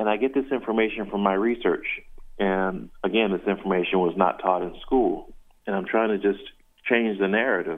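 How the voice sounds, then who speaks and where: In an unremarkable speaking voice, a man talks at a moderate pace with fairly low pitch and fairly even intonation. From South Carolina. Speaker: visual artist and musician. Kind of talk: radio interview. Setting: phone call.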